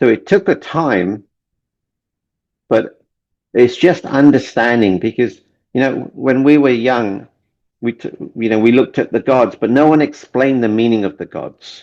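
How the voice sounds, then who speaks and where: With an English accent, a man speaks with long, frequent pauses. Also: medium pitch for a man, ordinary pitch variation, moderate pace. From London, England (Indian family, born in Kenya). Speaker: relationship coach and author. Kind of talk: interview. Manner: halting, repeats words.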